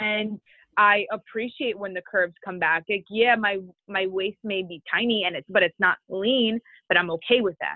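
A woman with a normal speaking voice keeps a moderate speed and ordinary pitch variation. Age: 20s. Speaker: bikini fitness competitor. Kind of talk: interview.

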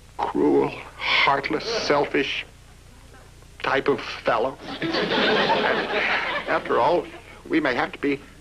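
Noticeable background noise sits behind a man speaking at a fairly slow pace. He leaves long, frequent pauses. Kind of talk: sitcom acting dialogue. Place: stage.

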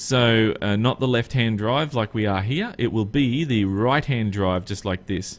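A man with an Australian accent, at a fairly slow pace. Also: ordinary pitch variation. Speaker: gaming YouTuber. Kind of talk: gameplay commentary. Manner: casual, hesitant with frequent fillers.

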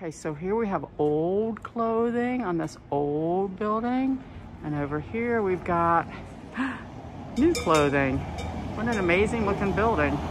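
The speech is very slow, with noticeable background noise. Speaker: walking tour guide / travel vlogger. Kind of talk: casual travel vlog narration. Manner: upbeat, enthusiastic. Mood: enthusiastic, admiring. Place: street. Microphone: phone near.

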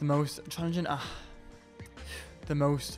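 With music in the background, a man speaks at a fairly slow pace. His voice sits at a fairly high pitch. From Wales, Newport. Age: 20s. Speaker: music student. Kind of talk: personal testimony to camera.

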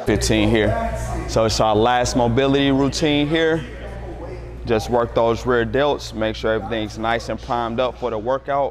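Male speech at a moderate pace over faint background music. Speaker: fitness trainer. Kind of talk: tutorial. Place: gym.

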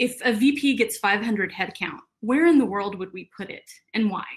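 Moderate pace and lively intonation in an American accent, against a quiet background. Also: woman. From Texas. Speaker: HR professional. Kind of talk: virtual conference talk. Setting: video call. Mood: warm, smiling. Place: home room.

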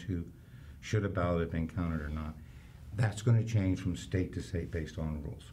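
A man speaks fairly quickly in a very deep, low pitch with ordinary pitch variation. His tone is dark, mellow and somewhat breathy, over light background noise. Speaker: county election official. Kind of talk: interview. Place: studio.

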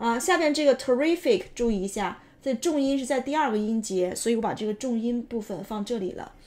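In a very clean recording with a silent background, a woman with an ordinary speaking voice talks at a fairly quick pace, her fairly high pitch carrying lively intonation. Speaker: English teacher. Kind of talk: English pronunciation lesson.

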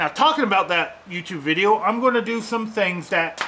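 Over light background noise, a man uses a raised, projected voice. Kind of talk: tutorial. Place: garage. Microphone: phone near.

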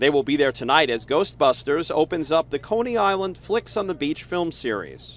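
With vocal fry and lively intonation, a man speaks at a moderate pace. He leaves hardly any pauses. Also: fairly high pitch for a man. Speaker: TV news reporter. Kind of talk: TV news report. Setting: outdoors.

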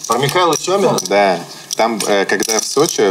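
Moderate pace from a man. Noticeable background noise is present. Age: 30s. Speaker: poker player; show host. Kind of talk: casual chat. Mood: relaxed, joking. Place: studio. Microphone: lapel.

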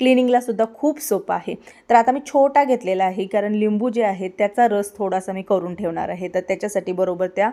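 Here a woman talks in a dark, mellow tone. Her pitch variation is ordinary. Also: medium pitch for a woman, very clean recording, silent background. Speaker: vlogger. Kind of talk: casual vlog narration.

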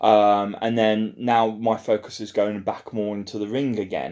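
At a moderate pace and a fairly low pitch, a man talks in an ordinary speaking voice over a quiet background. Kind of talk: casual vlog chat. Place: home room. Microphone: phone near.

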